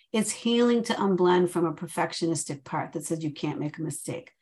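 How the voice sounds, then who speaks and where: A woman talks at a moderate pace with lively intonation over a quiet background. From Chicago. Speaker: therapist and trainer. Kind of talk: interview.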